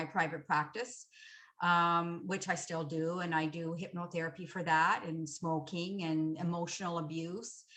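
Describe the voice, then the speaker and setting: Bright and sharp in tone, a woman with a Canadian accent speaks fairly slowly at a fairly low pitch. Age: 60s. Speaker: hypnotherapist. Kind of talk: panel discussion. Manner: halting.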